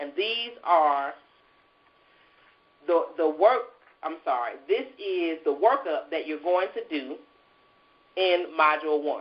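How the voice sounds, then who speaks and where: The woman's pitch sits fairly low. She speaks at a very slow pace. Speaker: speaking coach. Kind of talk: online class lecture. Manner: halting, many repetitions.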